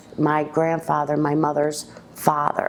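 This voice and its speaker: A woman speaking fairly slowly over noticeable background noise. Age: 50s. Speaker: woman telling her life story. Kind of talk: personal life story interview. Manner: halting, with many ums.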